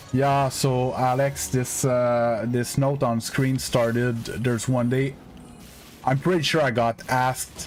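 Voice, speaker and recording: Delivered very slowly with a Quebec accent, the speech keeps a very even loudness and a monotone, flat intonation. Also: man, medium pitch for a man. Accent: French Canadian accent in English. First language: French. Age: 30s. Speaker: gaming streamer. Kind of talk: live stream chat with viewers. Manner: casual, hesitant with fillers.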